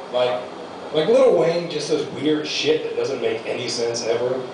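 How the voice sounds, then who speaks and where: Audible room echo and noticeable background noise around a man's fairly quick pace. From US, Mexican-American family. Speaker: amateur comedian. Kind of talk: stand-up. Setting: stage with small audience.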